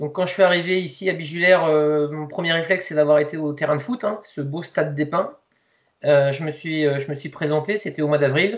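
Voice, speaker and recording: A man with a fairly high pitch talks at a fairly quick pace, his intonation fairly even. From Lower Normandy, France. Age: 40s. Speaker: youth football coach. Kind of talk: interview. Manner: halting, many fillers and repetitions.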